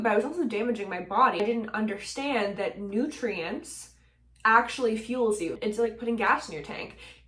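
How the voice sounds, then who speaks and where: With a Canadian accent, a woman talks at a moderate pace in a fairly high pitch with ordinary pitch variation. Her loudness swings widely over noticeable background noise. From Nova Scotia, Canada. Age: 20s. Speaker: singer-songwriter, mental health advocate. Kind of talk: casual talk to camera.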